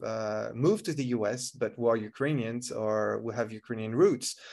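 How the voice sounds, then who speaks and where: A man at a moderate pace. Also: quiet background. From France. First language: French. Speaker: tech entrepreneur, speaker. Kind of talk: online conference talk. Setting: video call. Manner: halting, many fillers and repetitions.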